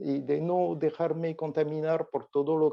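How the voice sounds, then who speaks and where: With a French accent, a man talks in a monotone, flat intonation. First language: French (speaking Spanish). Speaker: olfactory therapy expert. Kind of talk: interview. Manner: halting.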